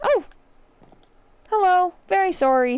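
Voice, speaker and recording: A woman puts on a squeaky character voice with an extremely high pitch. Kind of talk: in-character roleplay. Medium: game stream. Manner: soft, wondering, hesitant.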